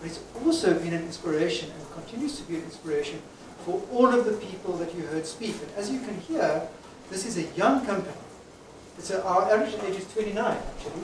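A man with a high voice talks at a fairly quick clip and with lively intonation, with noticeable background noise and audible room echo around him. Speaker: company founder and speaker. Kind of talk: celebration speech to an audience. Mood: warm, grateful. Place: hall.

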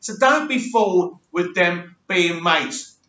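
In a room with audible echo, a man with an English accent talks at a very slow pace and a high pitch. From England. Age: 40s. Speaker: YouTube reality TV commentator. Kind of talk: casual monologue reaction video. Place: home room. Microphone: webcam.

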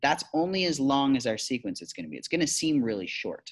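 With lively intonation and a fairly quick pace, a man's voice comes through against a quiet background. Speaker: teacher. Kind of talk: tutorial. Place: classroom. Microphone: webcam.

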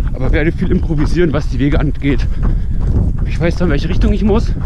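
There is noticeable background noise. Over it, a man talks at a fairly quick pace. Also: dry sound with no echo. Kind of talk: casual vlog chat. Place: open country. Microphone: phone near.

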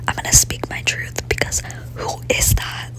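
A woman whispers. Her pace is moderate. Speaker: ASMR content creator. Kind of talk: gaming ASMR ramble. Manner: whispered; casual, chatty.

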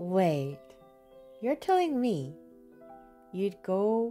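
A woman talks at a very slow pace while faint music sounds in the background. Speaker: Twitch streamer. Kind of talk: casual gameplay commentary. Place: home room.

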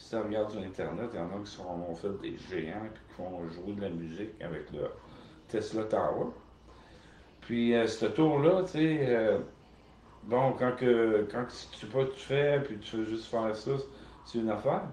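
A medium-pitched man talks fairly slowly with lively intonation, long, frequent pauses and big swings in loudness. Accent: Quebec. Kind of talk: casual monologue. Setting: home video recording. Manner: halting.

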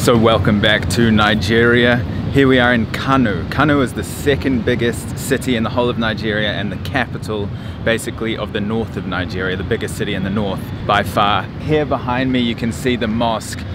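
A man speaks at a fairly quick pace. The sound is dry with no echo, but the background noise is loud. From New Zealand. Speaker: travel vlogger. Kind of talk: travel vlog narration. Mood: earnest, somewhat shocked.

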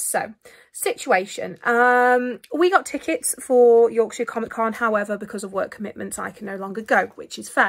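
A high-pitched woman at a moderate pace over a quiet background. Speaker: vlogger. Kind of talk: casual vlog chat. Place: home room. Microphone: phone near.

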